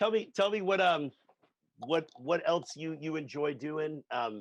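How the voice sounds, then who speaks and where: An unremarkable speaking voice from a man with an American accent, fairly high in pitch, with ordinary pitch variation and a dry, close sound with no echo. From United States. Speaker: drumming channel host. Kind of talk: casual interview chat.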